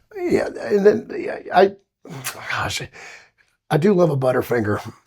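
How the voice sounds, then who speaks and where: Speaking fairly slowly, a man talks with a Southern US accent. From Alabama, US South. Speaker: singer. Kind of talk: casual chat.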